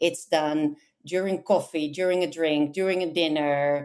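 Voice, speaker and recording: A woman with a Dutch accent speaks at a fairly slow pace, her pitch very deep and low with ordinary variation. The recording is very clean, with a silent background. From Netherlands. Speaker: localization manager. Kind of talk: interview. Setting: podcast. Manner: hesitant, many fillers.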